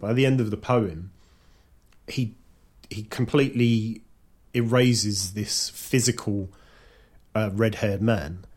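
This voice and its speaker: In a very clean recording with a silent background, a man with a Cockney accent speaks at a medium pitch and a moderate pace, somewhat breathy, with long, frequent pauses. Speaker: podcaster. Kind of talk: casual chat. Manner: talkative, rambling.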